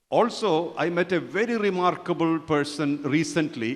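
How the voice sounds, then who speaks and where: Over a quiet background, a man with a plain, everyday voice speaks at a fairly high pitch with ordinary pitch variation. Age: 60s. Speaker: spiritual teacher. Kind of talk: conference talk.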